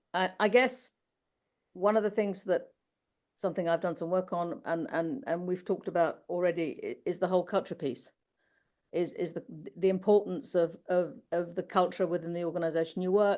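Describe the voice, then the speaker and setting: Her pace is moderate. This woman's pitch sits in the medium range and varies in an ordinary way. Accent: British. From UK. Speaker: finance professional, panelist. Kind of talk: panel discussion. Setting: webinar.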